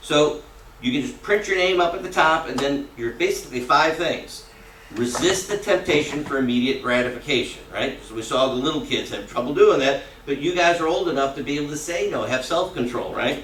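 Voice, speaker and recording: Audible room echo and noticeable background noise frame a man's fairly high-pitched voice. He talks fairly quickly with ordinary pitch variation. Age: 60s. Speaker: character education teacher. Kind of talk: classroom talk. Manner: conversational, frequent tag questions.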